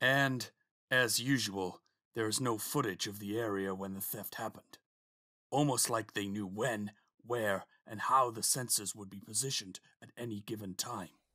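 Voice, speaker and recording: A man uses a put-on character voice with a weary tone, medium pitch and a moderate pace. The recording is very clean, with a silent background. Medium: audio drama. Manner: formal, weary.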